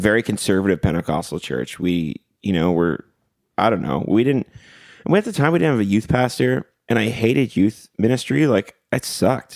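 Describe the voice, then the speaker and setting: A man talks at a moderate pace in a fairly low pitch, with vocal fry and very wide pitch swings. The sound is dry and close, with no echo. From Ontario, Canada (Port Perry). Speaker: singer-songwriter and event promoter. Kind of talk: casual interview. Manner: animated.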